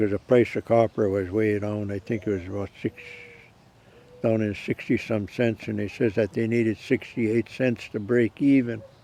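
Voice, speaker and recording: A man at a moderate pace, fairly low-pitched with monotone, flat intonation, amid noticeable background noise. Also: dry, close sound with no echo. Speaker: retired copper miner; war veteran. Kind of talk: interview answer.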